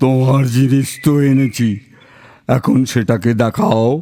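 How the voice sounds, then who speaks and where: A man puts on a character voice, pitched at a medium level. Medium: audio drama.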